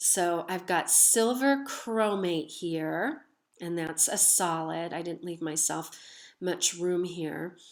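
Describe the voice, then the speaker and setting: A woman's fairly low voice, very slow in pace, with ordinary pitch variation against a quiet background. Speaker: chemistry teacher. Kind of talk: lecture. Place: home room. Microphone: webcam.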